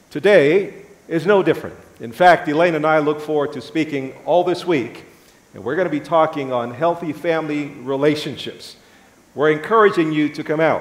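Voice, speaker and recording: Amid audible room echo, a man speaks at a moderate pace with ordinary pitch variation. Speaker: guest preacher. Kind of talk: sermon. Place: church. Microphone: lapel.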